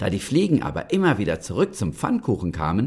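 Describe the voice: What we hear is plain reading aloud.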